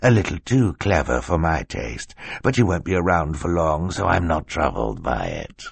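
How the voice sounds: A man's put-on character voice, extremely low in pitch, with vocal fry, a slightly husky edge, big pitch swings and a moderate pace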